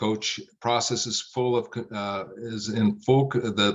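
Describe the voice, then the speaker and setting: There is an ordinary speaking voice from this man, medium in pitch with ordinary pitch variation. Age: 60s. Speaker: business coach. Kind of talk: podcast interview.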